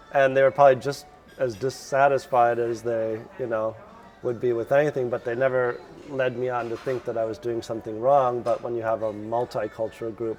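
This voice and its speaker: An American-accented man at a medium pitch speaks at a fairly quick pace in a monotone, flat delivery, with noticeable background noise. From US Midwest, Chicago suburbs. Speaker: lecturer. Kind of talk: casual interview.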